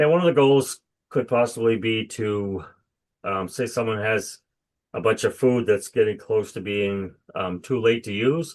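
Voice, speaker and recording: At a fairly slow pace, a man uses a normal speaking voice with medium pitch and ordinary pitch variation. The background is quiet. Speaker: executive director of a recycling association. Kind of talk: webinar presentation. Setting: video call.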